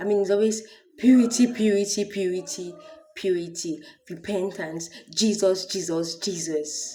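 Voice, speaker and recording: An animated voice with a Nigerian accent at a moderate pace. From Nigeria (Akwa Ibom). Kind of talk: testimony. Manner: loud.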